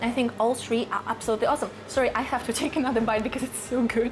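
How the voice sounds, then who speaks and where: Noticeable noise sits behind a woman as she talks. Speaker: food vlogger. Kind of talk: casual vlog chat. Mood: enthusiastic, delighted. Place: shop. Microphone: lapel.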